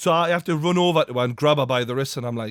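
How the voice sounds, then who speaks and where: A man talks with ordinary pitch variation. The sound is dry and close, with no echo. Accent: Geordie. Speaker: podcast host. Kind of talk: casual podcast conversation.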